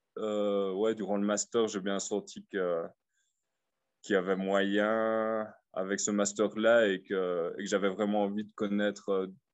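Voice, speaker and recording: Here a man speaks with a slight Liège accent. He goes at a fairly slow pace. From Belgium, Liège. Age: 30s. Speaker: expat. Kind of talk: casual interview. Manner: halting.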